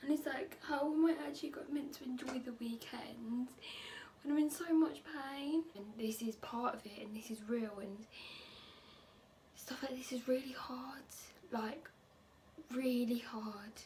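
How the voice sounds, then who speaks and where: A woman's fairly slow speech in an English accent, high-pitched with ordinary pitch variation, big swings in loudness and noticeable background noise. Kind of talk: handheld vlog clip.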